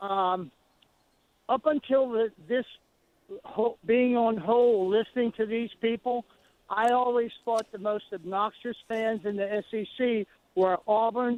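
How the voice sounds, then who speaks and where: A man with a high pitch speaks at a fairly slow pace, keeping his intonation fairly even. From Louisiana, New Iberia. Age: 70s. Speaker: caller. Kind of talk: phone-in call. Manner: halting.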